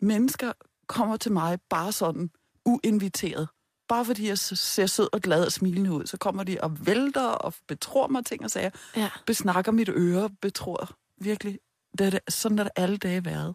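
A woman's medium-pitched voice, a plain, everyday voice, with ordinary pitch variation, a fairly slow pace and a dry, close sound with no echo. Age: 50s. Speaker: sex therapist. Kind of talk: interview.

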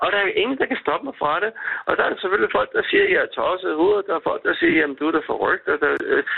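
Against noticeable noise, the words come out at a very fast pace. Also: man. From Denmark, Køge. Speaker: cat rescue volunteer. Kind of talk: phone interview. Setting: phone call.

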